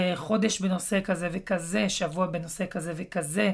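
Recorded very cleanly against a silent background, a plain, everyday voice moves at a moderate pace with fairly even intonation. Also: woman. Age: 30s. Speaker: podcast host, digital marketing consultant. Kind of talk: solo podcast talk.

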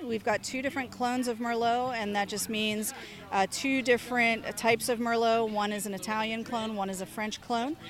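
At a moderate pace, a woman speaks with a fairly high pitch and fairly even intonation in an ordinary speaking voice. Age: young. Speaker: winery owner and winemaker. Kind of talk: interview. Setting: outdoor wine festival.

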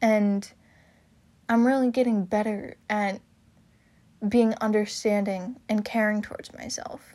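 Pausing long and often, a woman with a dark, mellow tone and a fairly high pitch speaks at a fairly slow pace with ordinary pitch variation. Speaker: podcast host. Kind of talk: solo podcast monologue, personal talk. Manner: casual, candid.

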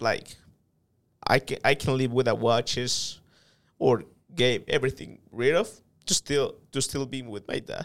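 This man has a Spanish accent and a medium-pitched voice with vocal fry. His intonation stays fairly even. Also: very clean recording, silent background. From El Salvador. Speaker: sales manager. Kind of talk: interview.

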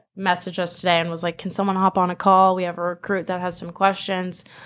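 Speaking in an American accent, a woman holds a flat, monotone delivery at medium pitch. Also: very clean recording, silent background. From Southern California, Manhattan Beach. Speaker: college soccer player. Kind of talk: casual interview. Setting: studio.

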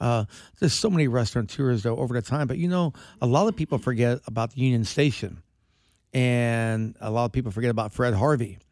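Over a silent background on a very clean recording, a man talks at a very fast pace. He has an American accent and ordinary pitch variation. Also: medium pitch for a man. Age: 60s. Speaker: restaurateur. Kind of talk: casual chat. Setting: studio.

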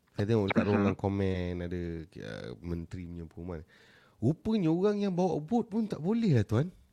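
His loudness shifts in big swings. The man keeps to a moderate pace. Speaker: live stream host, entrepreneur coach. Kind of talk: casual live stream chat. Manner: animated.

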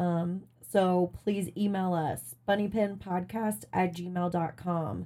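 A woman's medium-pitched voice with an American accent, dark and mellow in tone, with ordinary pitch variation. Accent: Appalachian twang, slight and intermittent. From Virginia coal mining town, US. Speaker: podcast host. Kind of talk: casual chat.

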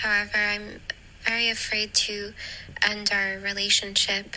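Noticeable noise fills the background. A woman does the talking. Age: 20s. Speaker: listener sending voice note. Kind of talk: voice message.

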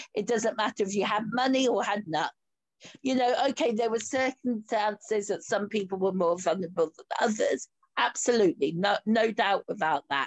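Lively intonation at a moderate pace, in a Yorkshire accent. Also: woman, fairly high pitch for a woman. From Yorkshire, northern England. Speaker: podcast host and coach. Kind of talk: casual interview chat. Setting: video call.

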